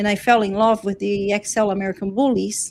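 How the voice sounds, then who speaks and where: With a slight Brazilian accent, a woman speaks at a moderate pace in a medium-pitched voice with fairly even intonation. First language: Portuguese. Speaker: dog breeder, channel host. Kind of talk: live stream talk. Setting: live stream.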